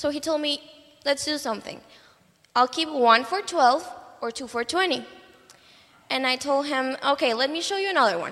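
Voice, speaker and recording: Here a woman speaks at a high pitch with ordinary pitch variation. Her pace is moderate, and there is noticeable background noise. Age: young. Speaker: student book canvasser. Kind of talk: testimony. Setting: church. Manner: halting.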